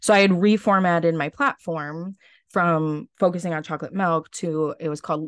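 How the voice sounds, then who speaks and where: A woman talks at a moderate pace with a plain, everyday voice and an American accent. Her intonation stays fairly even. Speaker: former pageant contestant. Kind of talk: casual interview.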